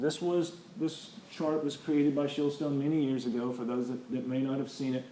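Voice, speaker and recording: A man talks with fairly even intonation and hardly any pauses, with audible room echo around him. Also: fairly high pitch for a man. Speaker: structural engineer. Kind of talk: lecture. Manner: fast.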